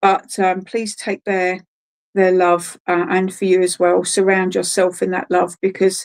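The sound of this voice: A woman speaks at a fairly slow pace with fairly low pitch and little pitch movement. The sound is dry and close, with no echo.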